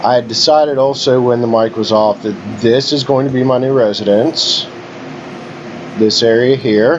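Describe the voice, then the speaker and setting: A man talks in a medium pitch at a moderate pace with fairly even intonation. Noticeable background noise runs underneath. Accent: West Virginia. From West Virginia. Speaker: gaming YouTuber. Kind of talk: gameplay commentary. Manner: casual, conversational.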